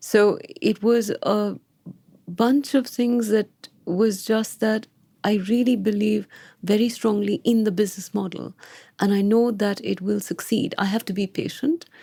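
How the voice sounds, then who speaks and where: A soft-spoken woman talks at a fairly slow pace with fairly even intonation. Her voice is fairly high, with a dark, mellow tone. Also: very even loudness. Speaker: founder of wealth advisory firm. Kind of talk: interview. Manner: deliberate.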